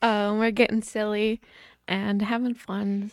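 The woman has a normal speaking voice, fairly high in pitch, and talks at a fairly slow pace. The recording is very clean with a silent background and a dry, close sound with no echo. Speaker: podcast host. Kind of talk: casual chat.

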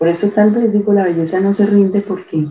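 A somewhat breathy woman's voice. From Colombia. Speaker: ontological coach. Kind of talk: interview conversation.

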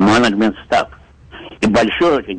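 Noticeable background noise sits behind a man talking at a moderate pace. His voice sounds dry and close, with no echo. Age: 70s. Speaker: retired facility maintenance director, caller. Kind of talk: call-in conversation.

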